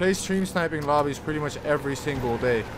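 This man's voice sits fairly high and moves at a fairly quick pace with an animated tone. His pitch varies in an ordinary way, with noticeable background noise behind him. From Netherlands. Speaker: gaming streamer. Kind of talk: live gameplay stream chatting with viewers. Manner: casual, animated. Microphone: studio mic.

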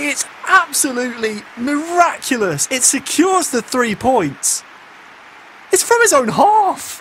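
A man's extremely high voice with very wide pitch swings over noticeable background noise. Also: fairly slow pace. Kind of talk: football co-commentary, analytical.

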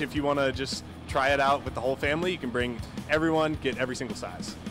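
A man talks at a very fast pace with fairly even intonation. The sound is dry with no echo, and clear music plays in the background. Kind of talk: interview answer. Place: stadium. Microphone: handheld.

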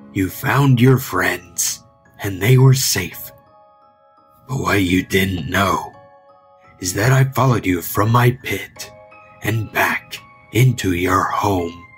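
A man uses a put-on character voice with a fairly low pitch. He speaks at a very slow pace over faint background music. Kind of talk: creepypasta horror poem reading. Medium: read story. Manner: taunting, menacing, mock-sweet.

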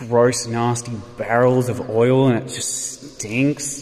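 A man is speaking. There is light background noise. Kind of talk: casual vlog commentary. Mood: wry, mocking. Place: factory. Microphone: phone near.

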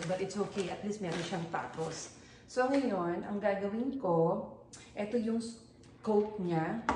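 A woman keeps a moderate pace, noticeable background noise audible behind her. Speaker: home vlogger. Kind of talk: casual vlog chat. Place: kitchen. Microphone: camera far.

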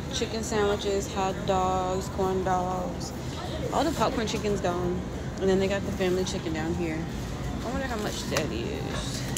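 Fairly slow speech from a woman, music playing in the background. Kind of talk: casual vlog chat. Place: shop. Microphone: phone near.

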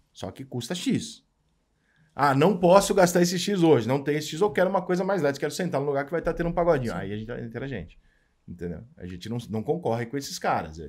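Against a quiet background, a man with a fairly high voice and vocal fry races at a very fast pace, with very wide pitch swings and big swings in loudness. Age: 40s. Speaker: sports journalist. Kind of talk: casual chat. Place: studio. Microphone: studio mic.

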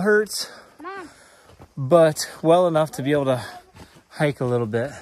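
A man talks at a fairly slow pace with ordinary pitch variation, the sound dry with no echo and light noise in the background. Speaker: RV travel vlogger. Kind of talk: casual vlog chat. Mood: excited, amazed. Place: tunnel cave. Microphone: phone near.

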